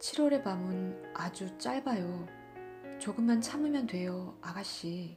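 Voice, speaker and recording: Music plays in the background as a woman speaks at a very slow pace with a calm, soothing tone. Her medium pitch moves in very wide swings. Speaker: audiobook narrator. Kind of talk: literary audiobook reading. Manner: calm, soothing reading.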